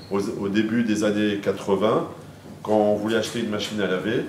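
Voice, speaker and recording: There is noticeable background noise behind this voice. A man speaks at a fairly low pitch. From Paris, France. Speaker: lecturer. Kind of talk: lecture. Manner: halting. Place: hall. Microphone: lapel.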